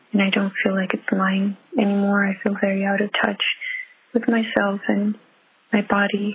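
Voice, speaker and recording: In a monotone, flat intonation and very even loudness, a woman at medium pitch keeps a moderate pace over noticeable background noise. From Netherlands. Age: 20s. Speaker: caller. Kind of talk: voicemail question. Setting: phone call. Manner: halting.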